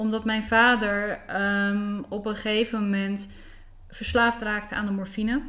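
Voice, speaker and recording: A woman's fairly high, bright and sharp voice, monotone and flat, at a fairly slow pace. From Netherlands, South Holland (between Rotterdam and The Hague). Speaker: spiritual coach. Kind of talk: interview conversation. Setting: at the host's home.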